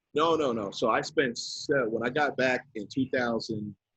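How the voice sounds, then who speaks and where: The pitch varies in an ordinary way. It is a normal speaking voice. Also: man. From US East Coast, Westchester County New York. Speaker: DJ, music producer and record label owner. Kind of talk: casual interview. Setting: podcast.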